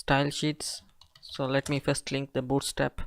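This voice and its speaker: In a dry, close sound with no echo, a speaker with a non-native accent talks at a very slow pace. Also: man. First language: not English. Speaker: web development tutorial creator. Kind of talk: coding tutorial. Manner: casual, hesitant.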